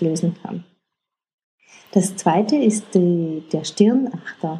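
Very slowly, a woman speaks in a dark, mellow tone that is somewhat breathy. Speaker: online coach giving stress-relief tips. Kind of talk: casual self-help tutorial.

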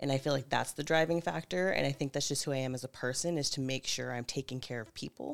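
Speaking very fast in a very deep, low pitch with ordinary pitch variation, a woman is heard on a very clean recording with a silent background. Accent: American. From Northern California (Napa County). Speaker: manager. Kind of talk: casual conversation.

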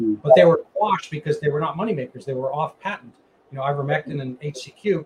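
Fairly quick, fairly high-pitched man's voice with ordinary pitch variation, big swings in loudness and noticeable background noise. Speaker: podcast host and physician. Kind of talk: interview. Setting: video call. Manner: halting, many fillers.

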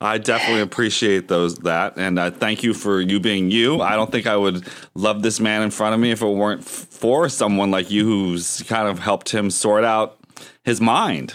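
This man has a normal speaking voice, fairly low in pitch, delivered at a moderate pace with very even loudness and fairly even intonation. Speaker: podcast co-host. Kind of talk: casual interview chat.

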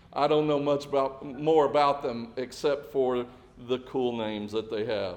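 A man speaks at a moderate pace with a medium pitch and fairly even intonation. Room echo is audible. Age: 40s. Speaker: pastor. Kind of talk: sermon.

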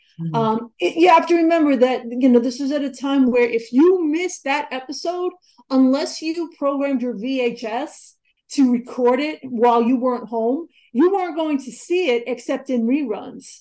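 A woman speaks with a New York accent. Her pitch is high and her tone dark and mellow. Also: ordinary pitch variation, moderate pace. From New York (Queens, Long Island). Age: 40s. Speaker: author and journalist. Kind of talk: interview.

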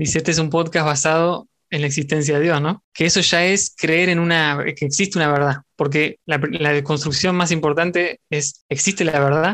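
This man talks at a moderate pace in a fairly high voice with a Rioplatense accent. His intonation stays fairly even against a quiet background. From Argentina. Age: 20s. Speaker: podcaster. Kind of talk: casual chat.

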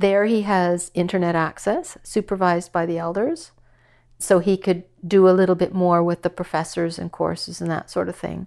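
A woman with a Canadian Prairies accent and fairly low pitch, monotone, flat intonation at a moderate pace, against a quiet background. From Saskatchewan, Canada. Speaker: mother of a prisoner. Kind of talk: personal interview testimony.

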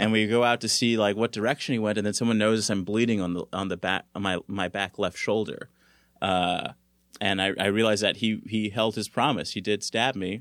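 At a fairly quick pace and with fairly even intonation, an unremarkable speaking voice with an American accent comes through on a very clean recording with a silent background. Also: man, fairly low pitch for a man, dry, close sound with no echo. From South Central Los Angeles, California. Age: 30s. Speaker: comedian. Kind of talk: casual chat.

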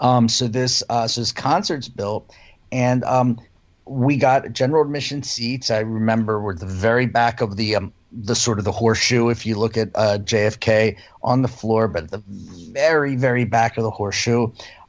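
A man speaks at medium pitch and a moderate pace. He has a normal speaking voice with ordinary pitch variation. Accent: American. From Philadelphia, US. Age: 50s. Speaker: music fan guest. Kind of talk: casual chat.

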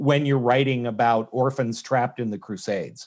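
In a normal speaking voice, the speaker goes at a moderate pace and varies pitch in an ordinary way. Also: man. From Canada. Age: 50s. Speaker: novelist and former stand-up comic. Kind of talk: casual interview chat.

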